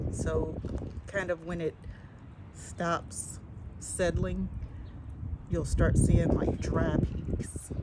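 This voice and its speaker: Against noticeable background noise, a woman speaks very slowly with long, frequent pauses. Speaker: Halloween prop maker vlogger. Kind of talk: tutorial. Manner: casual, hesitant with fillers.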